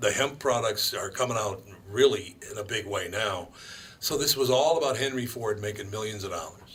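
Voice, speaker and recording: In an Upper Midwest accent, a man talks at a fairly quick pace with a medium pitch. His pitch varies in an ordinary way, and background noise is noticeable. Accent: Upper Midwest American. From Minneapolis, Minnesota. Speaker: radio host. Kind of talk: casual talk radio chat.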